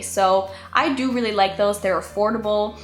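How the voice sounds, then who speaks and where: A woman at a fairly high pitch, with music in the background. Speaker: beauty vlogger. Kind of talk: product review vlog. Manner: fast.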